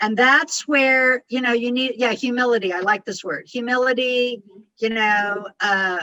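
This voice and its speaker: This woman's voice has a fairly high pitch. Her intonation is fairly even. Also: dry, close sound with no echo. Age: 60s. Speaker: communication and life coach. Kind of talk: coaching advice on a group call. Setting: group call. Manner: fast; intense.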